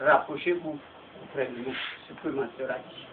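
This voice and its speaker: Noticeable noise fills the background as the speech unfolds at a fairly slow pace. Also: man. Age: 60s. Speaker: village chief. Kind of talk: public meeting address.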